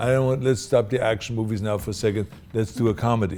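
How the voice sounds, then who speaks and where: Speaking at a fairly quick pace with a non-native accent, a man uses a medium pitch and ordinary pitch variation. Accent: foreign. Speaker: actor. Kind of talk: interview answer.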